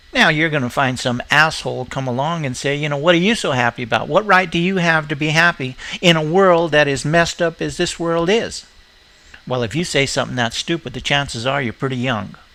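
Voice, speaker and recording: A man with a fairly high pitch uses an ordinary speaking voice, moving at a fairly quick pace with ordinary pitch variation. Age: 60s. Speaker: video blogger. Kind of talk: casual rant.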